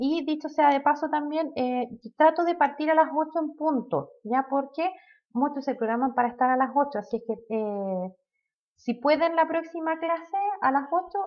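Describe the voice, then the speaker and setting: Her voice is high in pitch, with ordinary pitch variation. The woman keeps a moderate pace. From Chile, Maule region (Molina). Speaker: accounting instructor. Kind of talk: online lecture. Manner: many filler hesitations.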